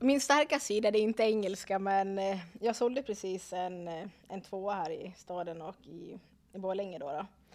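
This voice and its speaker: A woman with an unremarkable speaking voice talks at medium pitch and a moderate pace, with ordinary pitch variation and big swings in loudness. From Dalarna, Sweden. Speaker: real estate agent. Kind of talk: casual chat.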